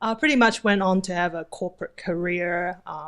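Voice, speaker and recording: Fairly even intonation comes from a woman with a slight New Zealand accent. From New Zealand, moved from Taipei at twelve. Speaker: vacation rental host. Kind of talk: interview.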